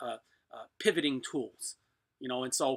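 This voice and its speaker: A man with an eastern US accent speaks at a fairly quick pace in a bright, sharp tone. The recording is very clean, with a silent background. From US East. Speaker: blacksmith. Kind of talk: live stream chat. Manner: casual, rambling with fillers.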